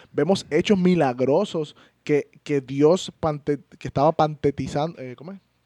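A fairly high-pitched man speaks slowly-ish, at a fairly slow pace, with a dark, mellow tone and ordinary pitch variation. His loudness swings widely, and the sound is dry and close with no echo over a quiet background. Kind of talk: casual Bible discussion.

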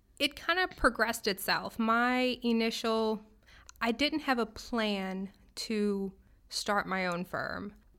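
On a very clean recording with a silent background, a woman with a bright, sharp tone and fairly high pitch speaks very slowly with ordinary pitch variation. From New Orleans, Louisiana. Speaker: accountant and business owner. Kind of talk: casual interview.

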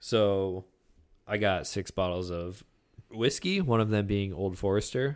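At a fairly slow pace, a man with a normal speaking voice keeps a fairly low pitch and fairly even intonation. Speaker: podcast host. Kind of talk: casual chat. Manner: profane, casual.

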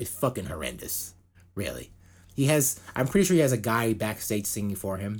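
His pitch fairly low, a somewhat breathy man speaks with very wide swings in pitch. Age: 40s. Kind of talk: casual chat.

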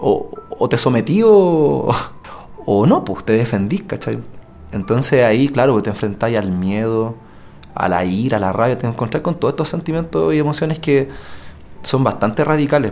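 Pausing long and often, a man with a medium-pitched voice swings his pitch very widely. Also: moderate pace. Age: 30s. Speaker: wrongly accused prisoner. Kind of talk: testimony.

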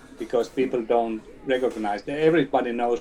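A man speaks with a Finnish accent and ordinary pitch variation. There is noticeable background noise. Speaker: company CEO. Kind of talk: interview. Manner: halting.

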